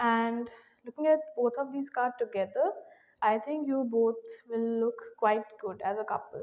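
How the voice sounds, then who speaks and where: Soft-spoken and fairly slow, a woman talks at a high pitch. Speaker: tarot reader. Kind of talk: tarot reading.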